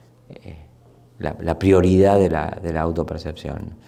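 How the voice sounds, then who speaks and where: A man's very deep, low voice with a dark, mellow tone, moderate pace and audible room echo. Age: 60s. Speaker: anthropologist and sociologist. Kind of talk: interview. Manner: halting, many repetitions and fillers.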